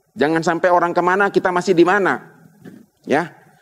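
The voice belongs to a man. It sits at a high pitch. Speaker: pastor. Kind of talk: sermon. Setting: church.

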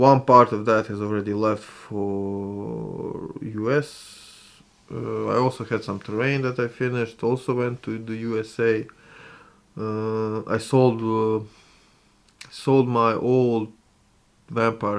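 Speaking very slowly at a medium pitch, a man keeps his intonation fairly even while his loudness swings widely. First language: not English. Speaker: gaming and miniature hobby YouTuber; miniature hobby YouTuber. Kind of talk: casual vlog monologue. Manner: halting, frequent filler sounds. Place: home room.

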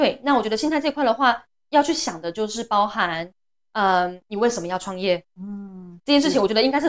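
A woman speaks at a fairly quick pace with lively intonation and a fairly high pitch. She has an ordinary speaking voice, and the background is quiet. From Taiwan. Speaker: speech therapist and clinic founder. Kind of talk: interview. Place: studio. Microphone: lapel.

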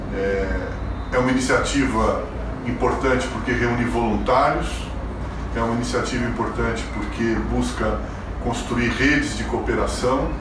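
A man speaks at a fairly slow pace with long, frequent pauses, over noticeable background noise and with audible room echo. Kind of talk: recorded video greeting. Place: home room.

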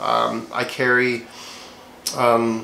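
A man is speaking here. There is audible room echo and light background noise. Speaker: gear vlogger. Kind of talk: casual vlog chat. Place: home room.

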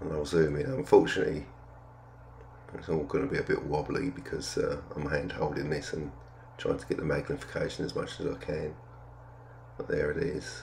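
A man speaks at a moderate pace with vocal fry, an extremely low pitch and a slightly mellow tone. His pitch barely moves, long pauses come often, and the room echo is audible.

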